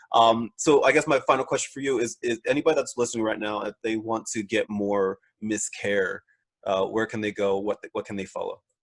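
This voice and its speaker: A man with a Philadelphia-New Jersey accent at a fairly quick pace, in a dry, close sound with no echo. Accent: Philly-Jersey. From Philadelphia / South Jersey, US. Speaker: podcast host. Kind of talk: casual interview chat. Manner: repeats words, hesitant fillers.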